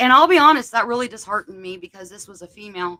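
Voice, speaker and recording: A woman's bright, sharp tone in a dry, close sound with no echo. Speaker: paranormal podcast host. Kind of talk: casual livestream discussion. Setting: home office livestream. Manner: loud.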